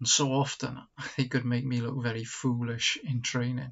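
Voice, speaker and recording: Monotone and flat, a man's voice comes at a moderate pace. It sounds somewhat breathy. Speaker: church pastor. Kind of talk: devotional talk, personal story. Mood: warm, gently humorous. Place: home room. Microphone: webcam.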